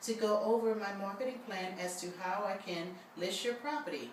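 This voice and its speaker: A woman with an American accent is heard through audible room echo and noticeable background noise. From New Orleans. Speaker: realtor. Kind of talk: sales pitch. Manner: fast.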